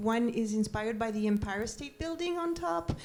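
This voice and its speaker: A woman's fairly high voice moves along at a moderate pace. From France, Paris. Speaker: documentary maker and former print editor. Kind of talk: panel discussion. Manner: hesitant, many fillers.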